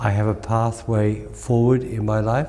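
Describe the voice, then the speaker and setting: A man's very slow speech in an Australian accent. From Australia, country Victoria. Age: 80s. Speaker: Reiki master. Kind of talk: interview.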